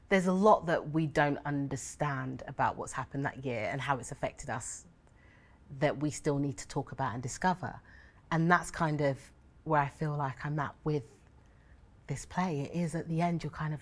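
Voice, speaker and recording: The speaker is a woman with a very deep, low pitch. She varies her pitch an ordinary amount. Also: moderate pace. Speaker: theatre artist in a panel. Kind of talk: discussion answer. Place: stage.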